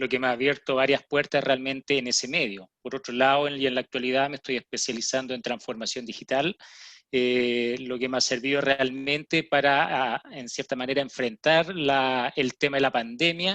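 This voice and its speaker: A man speaks at a moderate pace in a medium pitch, his tone bright and sharp with fairly even intonation. The sound is dry and close with no echo, over a quiet background. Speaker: geomatics engineer and GIS professor. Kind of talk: panel discussion.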